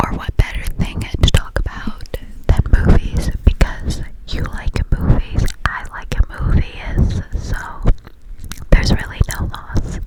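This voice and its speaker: Someone whispers at a very slow pace, with long, frequent pauses, over noticeable background noise. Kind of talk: ASMR casual talk. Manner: close whispers.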